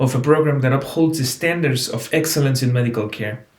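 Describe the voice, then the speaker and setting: There is audible room echo around a man's somewhat breathy voice. He speaks at a fairly quick pace with a fairly high pitch. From Mexico, Oaxaca. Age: 20s. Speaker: medical student. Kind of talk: application presentation, partly scripted. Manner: formal.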